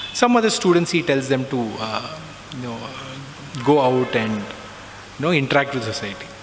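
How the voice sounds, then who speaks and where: Amid noticeable background noise and audible room echo, a man speaks at a medium pitch and moderate pace with ordinary pitch variation and big swings in loudness. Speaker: alumnus speaker sharing spiritual experiences. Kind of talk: testimony.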